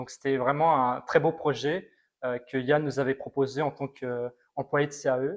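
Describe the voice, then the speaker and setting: An unremarkable speaking voice, with fairly even intonation and a fairly slow pace. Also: man, fairly high pitch for a man. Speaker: robotics alumnus. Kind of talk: testimony interview.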